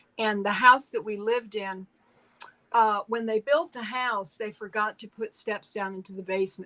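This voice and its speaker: A woman talks at a moderate pace with a bright, sharp tone and a fairly high pitch. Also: dry, close sound with no echo. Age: 70s. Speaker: tarot reader. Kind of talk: casual interview chat, personal story. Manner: halting, many repeated words.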